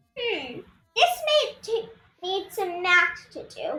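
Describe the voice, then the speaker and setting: In a put-on character voice, a woman speaks extremely high and squeaky. Her pace is very slow and her pitch swings very wide. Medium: read story.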